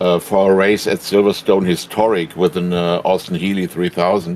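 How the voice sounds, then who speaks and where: Over noticeable background noise, a man with a German accent speaks fairly slowly in a fairly low voice with fairly even intonation. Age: 70s. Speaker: sim racing driver. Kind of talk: interview. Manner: halting.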